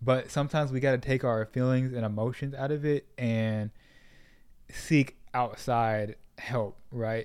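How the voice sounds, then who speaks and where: A man with an American accent and medium pitch, at a fairly slow pace with fairly even intonation, on a very clean recording with a silent background. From Sacramento, California. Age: 20s. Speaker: podcaster. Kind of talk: interview.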